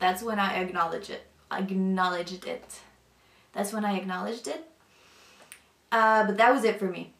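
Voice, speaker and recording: A woman's medium-pitched voice with a Northern European accent and fairly even intonation, over noticeable background noise. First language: not English; language of a former Soviet country. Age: 20s. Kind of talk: personal testimony. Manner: casual, hesitant with many fillers.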